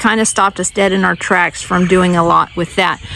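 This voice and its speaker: Noticeable background noise fills the clip. Through it, a woman talks. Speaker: homesteading vlogger. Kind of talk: casual vlog walkthrough. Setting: outdoors in garden.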